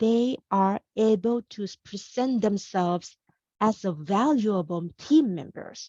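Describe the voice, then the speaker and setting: A woman with a Thai accent speaks in a fairly high voice with a dark, mellow tone. Her pace is very slow and her intonation lively. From Thailand, Bangkok. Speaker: career coach. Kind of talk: webinar presentation. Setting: video call. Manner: animated.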